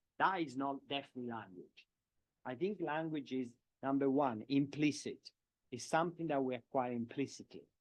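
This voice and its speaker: Fairly high-pitched male speech in a strong Italian accent, moderate in pace, with ordinary pitch variation. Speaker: professor of education. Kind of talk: lecture Q&A answer. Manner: halting, with repetitions.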